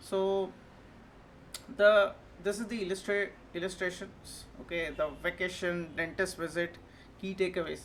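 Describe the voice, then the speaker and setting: Audible room echo surrounds a woman speaking at medium pitch with fairly even intonation. She moves at a fairly slow pace, with long, frequent pauses. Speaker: educational video presenter. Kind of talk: lecture. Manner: halting, repetitive with frequent okay.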